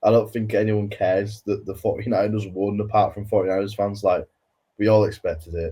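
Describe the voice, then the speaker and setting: With a Welsh accent, a man speaks at a moderate pace. His voice is somewhat breathy. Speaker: football podcast co-host. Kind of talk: casual chat.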